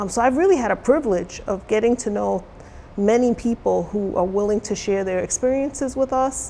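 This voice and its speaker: Over light background noise, a woman with an American accent talks at a fairly quick pace. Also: ordinary pitch variation. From New York City. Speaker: college diversity officer; interviewee, college diversity educator. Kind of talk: interview. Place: studio.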